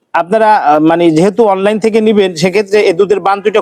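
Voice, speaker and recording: A man's high voice with ordinary pitch variation, a dry, close sound with no echo, and noticeable background noise. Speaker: livestock video blogger. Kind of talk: farm tour interview and sales showcase.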